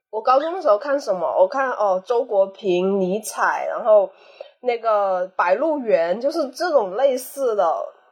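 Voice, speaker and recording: Fairly slow speech from a woman, fairly high in pitch, with very wide pitch swings. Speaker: podcast guest, anthropology graduate. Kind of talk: casual chat.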